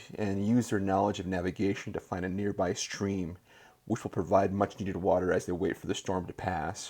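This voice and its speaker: Here is a man with an ordinary speaking voice. His pitch is fairly low and his pace moderate. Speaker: podcast host. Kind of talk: reading game text aloud.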